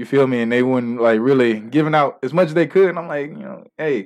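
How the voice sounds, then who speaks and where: In a plain, everyday voice, the speaker talks at a fairly quick pace with lively intonation. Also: man. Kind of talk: casual chat.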